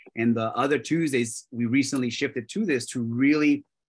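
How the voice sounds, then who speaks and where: A man with a Spanish accent at a fairly quick pace, over a quiet background. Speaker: real estate brokerage leader. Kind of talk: panel discussion. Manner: halting, many restarts.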